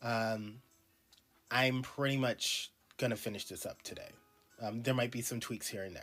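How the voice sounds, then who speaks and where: Speech at a moderate pace with long, frequent pauses over music in the background. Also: man, medium pitch for a man. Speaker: artist streaming drawing. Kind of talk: casual live-stream commentary. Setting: live stream while drawing. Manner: hesitant, many ums.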